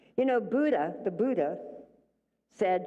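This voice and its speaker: Amid audible room echo, a woman with a dark, mellow tone talks at a fairly slow pace, her pitch swinging very widely. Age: 80s+. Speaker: minister. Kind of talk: sermon. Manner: animated.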